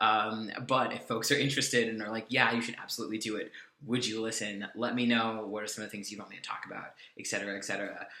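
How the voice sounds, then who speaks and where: The speaker goes at a very fast pace in a monotone, flat intonation with big swings in loudness, audible room echo, and noticeable background noise. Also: man, medium pitch for a man. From California. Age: 20s. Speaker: vlogger. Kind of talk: casual vlog update. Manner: hesitant, many fillers.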